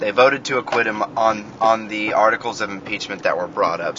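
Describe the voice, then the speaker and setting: A man with an American accent at a moderate pace, over noticeable background noise. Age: 20s. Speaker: podcast host. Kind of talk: solo monologue. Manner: rambling, repetitive.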